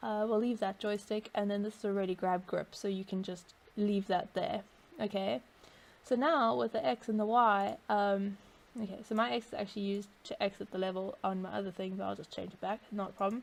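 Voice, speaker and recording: The recording is very clean, with a silent background. A woman with an unremarkable speaking voice talks at a fairly quick pace with ordinary pitch variation. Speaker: VR developer tutorial maker. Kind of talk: screen-recorded tutorial.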